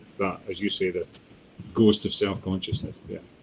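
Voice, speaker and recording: A man with a Scottish accent talks in a somewhat breathy voice. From Scotland, Dundee. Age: 50s. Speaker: poet. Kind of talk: interview. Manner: halting.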